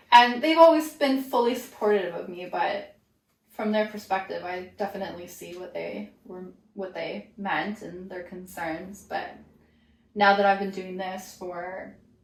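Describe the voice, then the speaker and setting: Amid audible room echo, a woman speaks at a fairly slow pace with big swings in loudness. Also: medium pitch for a woman, ordinary pitch variation. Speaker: yoga teacher. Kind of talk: casual chat.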